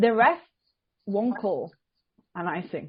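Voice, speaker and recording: Fairly high-pitched and somewhat breathy woman, animated in tone, at a fairly slow pace. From Italy. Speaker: amateur ice hockey player. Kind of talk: podcast interview.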